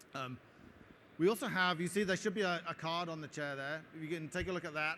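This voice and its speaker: In an English accent, a man speaks at a very fast pace with a bright, sharp tone. His pitch is fairly high, with ordinary variation. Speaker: tech company product head giving conference talk. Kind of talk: conference talk with Q&A. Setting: stage at trade show with audience. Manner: hesitant with frequent fillers.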